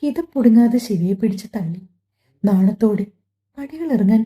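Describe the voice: Over a quiet background, someone reads aloud plainly, pitch varying in an ordinary way.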